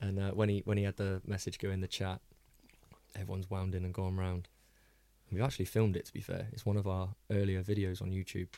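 In a very clean recording with a silent background, a man with a very deep, low pitch and a dark, mellow tone speaks very fast in a flat monotone, broken by long, frequent pauses. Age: 30s. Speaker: podcast host. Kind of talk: casual chat. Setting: studio.

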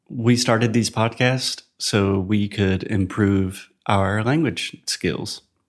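A man with an unremarkable speaking voice and an American accent speaks at a fairly low pitch with ordinary pitch variation. The recording is very clean, with a silent background. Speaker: podcast host teaching English. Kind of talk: casual chat. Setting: home living room.

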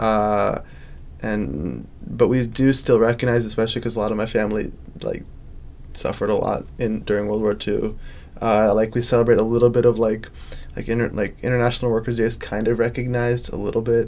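This is a plain, everyday voice moving at a fairly quick pace. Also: man, medium pitch for a man, fairly even intonation. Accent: American. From Chicago suburbs. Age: young. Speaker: college student. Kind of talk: personal storytelling interview.

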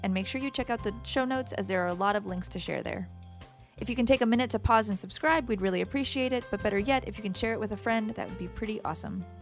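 A woman talks at a very fast pace with music in the background. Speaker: podcast host. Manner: fast talker.

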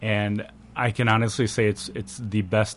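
A man, using a normal speaking voice, delivers his words at a moderate speed in a fairly low register. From Wisconsin, Janesville. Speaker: nonprofit executive. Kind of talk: radio interview. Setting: studio.

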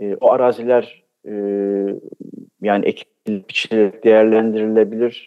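Fairly slow, monotone, flat speech from a man. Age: 70s. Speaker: architecture professor, folk culture researcher. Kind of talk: radio interview.

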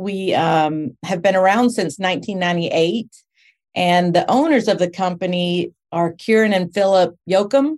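A woman with an American accent speaks in an unremarkable speaking voice at medium pitch, with ordinary pitch variation and a moderate pace. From Texas (Spring, north of Houston). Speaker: home care business owner. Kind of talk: casual interview.

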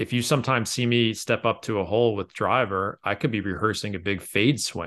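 A man in an ordinary speaking voice, fairly low in pitch, at a fairly quick pace with hardly any pauses, ordinary pitch variation, and a quiet background. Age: 30s. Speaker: golf author and blogger. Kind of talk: casual interview.

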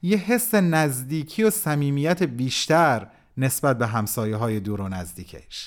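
A man's speech at a moderate pace comes through on a very clean recording with a silent background. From Iran. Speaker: writer and narrator. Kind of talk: scripted narration (letter read aloud).

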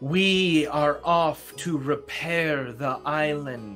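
Clear music plays in the background as a put-on character voice with a low-to-middle pitch speaks at a very slow pace. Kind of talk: formal, regal. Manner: commanding.

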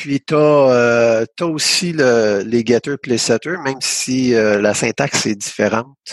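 A very slow pace with hardly any pauses and ordinary pitch variation, dry and close without echo, over a quiet background. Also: man, medium pitch for a man. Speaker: podcast host, programmer. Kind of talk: casual technical discussion.

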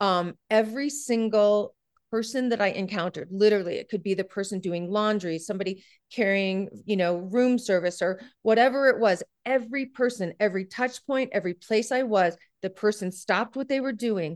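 With an American accent, a woman talks at a moderate pace and medium pitch, with ordinary pitch variation over a quiet background. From US Midwest, Iowa. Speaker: education speaker and author. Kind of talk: interview. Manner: animated.

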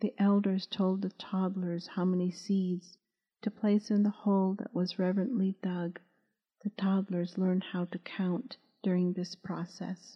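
Somewhat breathy, a woman speaks at a fairly slow pace with monotone, flat intonation. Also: medium pitch for a woman. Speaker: audiobook narrator and author. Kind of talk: audiobook reading of a novel, scripted narration. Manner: formal, even, reverent tone with Navajo words pronounced carefully.

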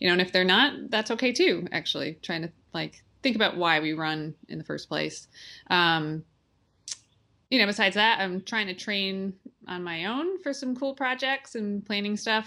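Bright and sharp in tone, a woman speaks at a medium pitch and a moderate pace with lively intonation. The recording is very clean and the background silent. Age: 30s. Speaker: ultra runner and running coach. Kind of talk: casual interview.

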